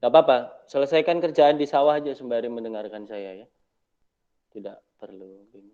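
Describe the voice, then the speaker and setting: A man speaks at a fairly quick pace with lively intonation. His tone is dark and mellow, and his loudness swings widely. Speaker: university lecturer. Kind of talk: online Q&A lecture session. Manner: quiet. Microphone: not using a microphone, voice a bit quiet.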